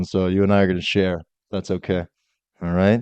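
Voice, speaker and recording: The man speaks at a very fast pace in a monotone, flat intonation. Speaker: podcast host. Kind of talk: podcast interview questions.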